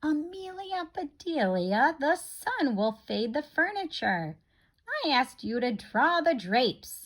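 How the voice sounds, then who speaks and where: Using a put-on character voice, a woman speaks high-pitched at a fairly slow pace with very wide pitch swings. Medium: read story.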